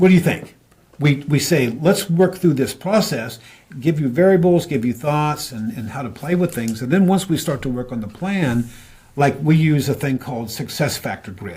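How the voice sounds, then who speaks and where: This man has a dark, mellow, somewhat breathy voice pitched fairly high. He speaks at a moderate pace with lively intonation. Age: 70s. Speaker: business consultant. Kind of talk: interview.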